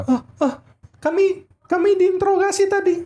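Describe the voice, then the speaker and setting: A squeaky, put-on character voice at an extremely high pitch speaks at a moderate pace. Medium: actual play. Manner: stammering, halting.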